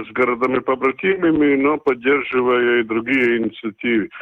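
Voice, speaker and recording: This is a man's voice. It sits at a medium pitch. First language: Latvian (speaking Russian). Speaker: town mayor. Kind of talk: radio interview. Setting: remote call.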